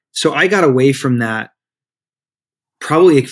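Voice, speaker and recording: At a moderate pace, a man talks with a Midwestern accent. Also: very clean recording, silent background. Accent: American Midwest. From Michigan, US. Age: 30s. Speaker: life and spiritual coach, author. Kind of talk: podcast interview.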